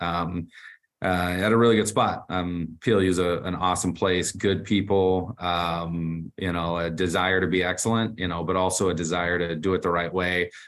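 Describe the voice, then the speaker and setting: This man has a very deep, low pitch. His intonation is monotone and flat. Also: hardly any pauses. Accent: American. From Texas. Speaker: college football head coach. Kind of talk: interview. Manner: casual with frequent fillers.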